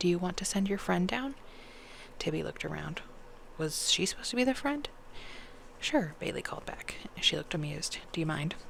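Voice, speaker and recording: A soft-spoken voice at a fairly quick pace, with long, frequent pauses and noticeable background noise. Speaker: ASMR reader. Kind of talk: bedtime audiobook reading.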